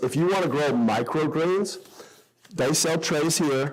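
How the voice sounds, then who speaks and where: A man's pitch varies in an ordinary way while noticeable noise runs in the background. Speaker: sprouting enthusiast and class teacher. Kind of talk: workshop talk with audience Q&A. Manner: fast.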